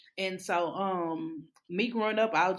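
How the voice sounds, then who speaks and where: A woman's medium-pitched voice with a Louisiana accent. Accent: Southern US (Louisiana). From Louisiana, Alexandria. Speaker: therapist. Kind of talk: casual interview.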